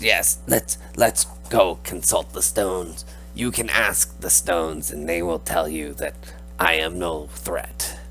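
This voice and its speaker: A man uses a put-on character voice at a fairly slow pace over clear background noise. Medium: actual play. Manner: measured, formal.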